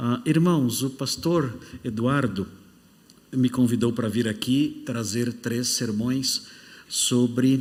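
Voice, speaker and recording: With audible room echo around him, a man speaks very slowly at a medium pitch with fairly even intonation. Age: 60s. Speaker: pastor. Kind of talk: sermon; casual self-introduction. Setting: church.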